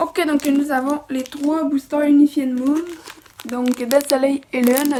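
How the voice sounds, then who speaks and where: A soft-spoken woman's high voice with monotone, flat intonation. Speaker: toy unboxing youtuber. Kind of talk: unboxing video.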